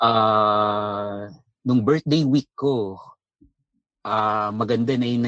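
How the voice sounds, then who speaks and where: With a Filipino accent, a man talks at a medium pitch with ordinary pitch variation. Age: 30s. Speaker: caller. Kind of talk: phone-in conversation in Taglish. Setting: phone call.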